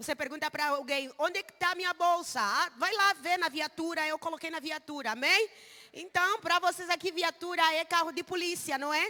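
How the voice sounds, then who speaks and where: A woman's raised, projected voice at an extremely high pitch, bright and sharp in tone, with ordinary pitch variation, a moderate pace and a dry, close sound with no echo. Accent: Angolan. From Angola. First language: Umbundu (speaking Portuguese). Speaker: missionary preacher. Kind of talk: sermon. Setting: church service.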